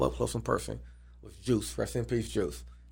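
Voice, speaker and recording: This man talks at a fairly quick pace with very wide pitch swings. His voice is somewhat breathy. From Atlanta, US South. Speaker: sports and entertainment deal broker. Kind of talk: casual interview.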